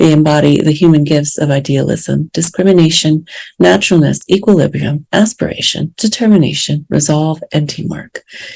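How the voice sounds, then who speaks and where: A soft-spoken woman's voice with a very deep, low pitch, a dark, mellow tone, ordinary pitch variation, a moderate pace and hardly any pauses. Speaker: podcast host and spiritual teacher. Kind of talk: podcast monologue. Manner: hesitant with fillers.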